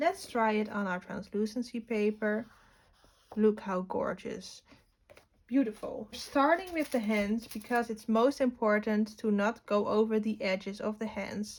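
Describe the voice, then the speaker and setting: A woman with a fairly high pitch and ordinary pitch variation talks at a fairly slow pace. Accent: non-native. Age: 20s. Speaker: art teacher. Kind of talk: tutorial.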